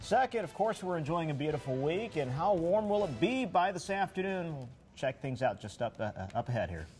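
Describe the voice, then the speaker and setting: A high-pitched man with an American accent talks at a fairly quick pace, with hardly any pauses. His pitch swings very widely over music in the background. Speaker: television meteorologist and morning show co-host. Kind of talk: local TV morning show weather forecast and banter.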